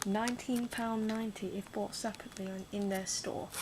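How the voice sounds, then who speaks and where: A soft-spoken woman's fairly high voice with ordinary pitch variation, over noticeable background noise. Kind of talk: ASMR unboxing talk to camera.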